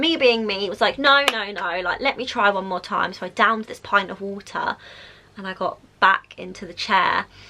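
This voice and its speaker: A woman in a Southern English accent, bright and sharp in tone, at a moderate pace with ordinary pitch variation and big swings in loudness. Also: medium pitch for a woman. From South East England. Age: 20s. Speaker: vlogger. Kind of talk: casual talk to camera.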